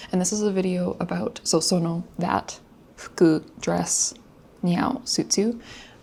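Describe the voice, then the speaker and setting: Quiet and somewhat breathy, a woman speaks at a fairly slow pace in a medium pitch with a dark, mellow tone and ordinary pitch variation. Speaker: language learner vlogger. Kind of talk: casual study vlog. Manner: hesitant, many fillers.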